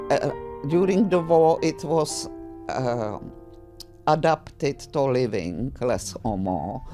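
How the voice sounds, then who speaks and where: Music plays in the background as a woman with a Czech accent speaks with very wide pitch swings. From Czechoslovakia. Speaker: grandmother. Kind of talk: interview answer.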